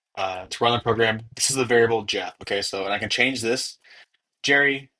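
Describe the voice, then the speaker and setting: A man speaks at a fairly quick pace in a medium pitch. His tone is energetic. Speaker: programming tutor. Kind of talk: tutorial. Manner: casual, energetic.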